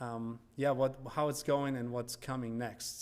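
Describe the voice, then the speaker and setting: Using a moderate pace, a man talks with a non-native accent. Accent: good English, non-native. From Germany. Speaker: missionary church planter. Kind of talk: church presentation. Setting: church.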